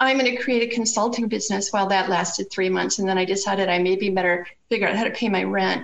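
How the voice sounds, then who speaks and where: With noticeable background noise, the speech comes at a very fast pace with hardly any pauses and very even loudness. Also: woman, medium pitch for a woman. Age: 60s. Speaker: co-parenting expert and author. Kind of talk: interview conversation. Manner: animated.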